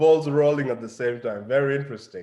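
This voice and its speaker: Here is a man with a plain, everyday voice. He speaks at a fairly high pitch with ordinary pitch variation. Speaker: language coach and channel host. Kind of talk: interview. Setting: live stream video call.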